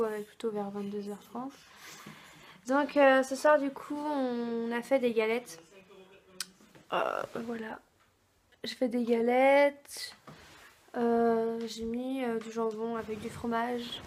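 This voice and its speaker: Pausing long and often, a woman speaks at a very slow pace in a fairly high pitch with fairly even intonation. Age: 20s. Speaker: vlogger. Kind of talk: vlog. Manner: hesitant, many fillers.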